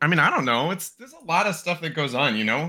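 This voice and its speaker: A man with a fairly high pitch speaks with lively intonation, a bright, sharp tone and vocal fry. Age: 30s. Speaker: podcast host and card game player. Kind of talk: casual chat.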